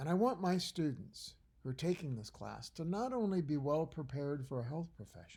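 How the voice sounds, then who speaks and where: The man's voice is fairly high, somewhat breathy and dark and mellow in tone. He talks at a moderate pace with lively intonation. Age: 60s. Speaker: college biology professor. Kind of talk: recorded lecture. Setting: at home by a fire. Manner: conversational, with fillers and restarts.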